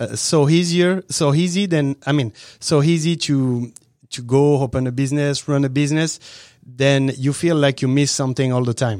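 In a very clean recording with a silent background, a man speaks with a French accent. His voice is fairly high, with ordinary pitch variation at a moderate pace. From southern France, near Avignon. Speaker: restaurant owner. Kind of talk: interview. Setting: studio. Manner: halting.

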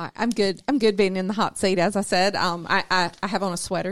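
The speaker uses a Southern US accent at a very fast pace with fairly even intonation. The recording is very clean, with a silent background. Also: woman. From South Georgia. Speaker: business development and board volunteer. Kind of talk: casual radio interview. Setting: studio.

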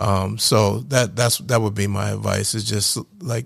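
Someone with an American accent and vocal fry speaks at a moderate pace with ordinary pitch variation. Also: man. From New Jersey, near Philadelphia. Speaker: IT business owner, Marine veteran. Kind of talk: radio interview. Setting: studio.

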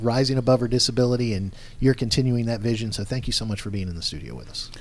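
This is a normal speaking voice. Its intonation stays fairly even. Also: man. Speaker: radio show co-host. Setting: radio studio.

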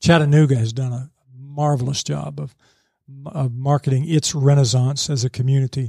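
With fairly even intonation, the voice sounds somewhat breathy and carries a dark, mellow tone. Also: man, medium pitch for a man, moderate pace. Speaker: newspaper business editor and former radio news director. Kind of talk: casual interview. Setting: studio.

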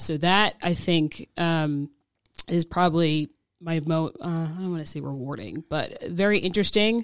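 An unremarkable speaking voice, heard in a very clean recording with a silent background, moves at a moderate pace with ordinary pitch variation and big swings in loudness. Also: woman, fairly low pitch for a woman. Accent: American. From New Jersey. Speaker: family law attorney. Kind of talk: radio interview. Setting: studio.

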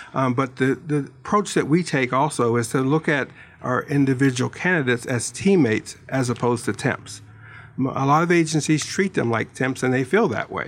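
Here a man uses a normal speaking voice with an American accent at a fairly quick pace. His pitch is medium, with ordinary pitch variation. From Pittsburgh, US. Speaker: staffing branch manager. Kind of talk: casual radio interview.

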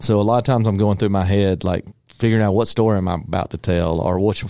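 A man with a Southern US accent talks at a very fast pace in a dark, mellow tone with fairly even intonation. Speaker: singer-songwriter. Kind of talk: casual interview. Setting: radio studio.

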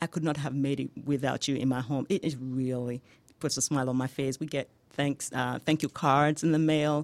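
With a Nigerian accent, a woman speaks in a very deep, low pitch, her intonation fairly even. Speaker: home healthcare business owner. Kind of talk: radio interview. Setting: studio.

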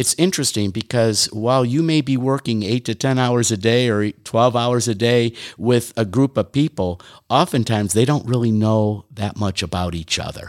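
A man with an American accent and an ordinary speaking voice, medium pitch, ordinary pitch variation and a moderate pace, on a very clean recording with a silent background. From Detroit, Michigan, US. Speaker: leadership consultant. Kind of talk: radio interview. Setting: studio.

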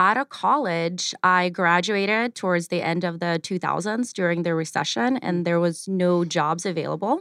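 A woman with a Russian accent is heard in a very clean recording with a silent background, the sound dry and close with no echo. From Ukraine, moved to Arizona at 12. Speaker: cleaning company executive. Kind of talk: radio interview. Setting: studio.

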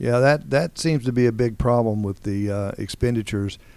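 A man at medium pitch and a moderate pace, a normal speaking voice, on a very clean recording with a silent background. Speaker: radio host. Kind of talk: interview. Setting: studio.

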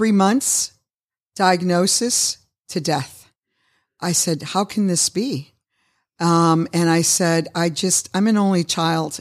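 Delivered at a very slow pace with long, frequent pauses, the speech holds a very even loudness and ordinary pitch variation on a very clean recording with a silent background. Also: woman. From Chicago, raised by Cuban immigrants. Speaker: restaurateur and nonprofit founder. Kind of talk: interview. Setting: studio.

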